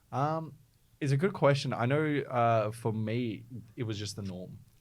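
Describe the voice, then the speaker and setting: The speaker is a man with an Australian accent. He keeps a moderate tempo. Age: 20s. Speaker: startup founder. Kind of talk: interview.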